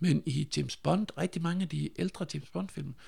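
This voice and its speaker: Fairly high-pitched for a man, his voice carries vocal fry, ordinary pitch variation and a fairly quick pace. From Denmark, Funen (Nyborg). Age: 40s. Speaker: sound designer. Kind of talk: casual chat.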